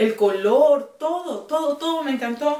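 Amid audible room echo, a woman speaks at a very slow pace. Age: 30s. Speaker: fashion YouTuber. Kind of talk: clothing haul video. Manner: animated. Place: home room. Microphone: camera far.

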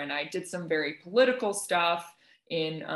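A woman talks at a moderate pace with a fairly low pitch. There is a quiet background and audible room echo. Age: 20s. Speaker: textile artist. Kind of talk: panel discussion. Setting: video call. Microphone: video call.

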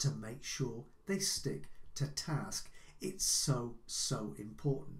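There is vocal fry in this man's voice. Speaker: life coach. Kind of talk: advice talk to camera. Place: home room.

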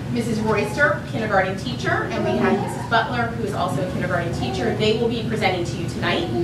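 A woman speaks at a very fast pace with hardly any pauses, over loud background noise and with audible room echo. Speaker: presenter. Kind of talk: public presentation introduction. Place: hall.

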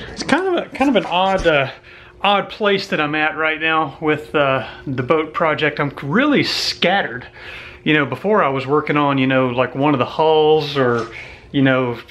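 The speaker is a man. He keeps a moderate pace, with ordinary pitch variation. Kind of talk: casual vlog chat. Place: garage. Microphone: phone near.

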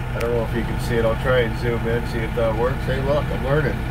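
A man talks fairly quickly while loud background noise fills the recording. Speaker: tractor operator homeowner. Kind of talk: casual vlog chat. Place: farm machine. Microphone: phone near.

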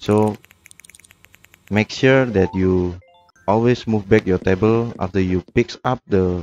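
A man with a non-native accent, fairly low pitch, ordinary pitch variation and a fairly slow pace, music in the background. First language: non-native English speaker. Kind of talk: video game tutorial narration.

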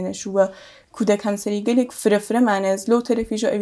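A woman speaks at a fairly quick pace with fairly even intonation, her fairly high voice carrying a dark, mellow tone over a quiet background. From Sanandaj, Iranian Kurdistan; Iranian Kurdistan. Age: 40s. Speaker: actor and film script supervisor; actor. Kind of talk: interview. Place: studio.

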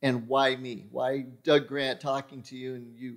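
A man talks fairly slowly. Behind him the background is quiet. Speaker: podcast host. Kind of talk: podcast monologue. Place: studio. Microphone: studio mic.

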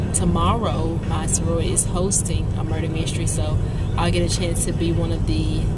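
With music in the background, a woman talks at a fairly slow pace, the sound dry with no echo. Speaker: vlogger. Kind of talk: casual vlog chat. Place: car. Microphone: phone near.

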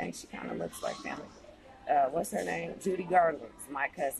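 Over music in the background, a woman talks at a moderate pace in a dry sound with no echo. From United States. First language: English (not Spanish). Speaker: YouTube vlogger. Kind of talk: casual screen-share commentary. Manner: animated. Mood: animated, opinionated. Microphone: phone near.

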